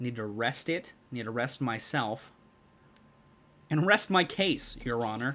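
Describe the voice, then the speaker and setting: Speaking at a fairly slow pace with long, frequent pauses, a man uses a bright, sharp tone at a medium pitch with lively intonation. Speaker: video game streamer. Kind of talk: casual live-stream chat.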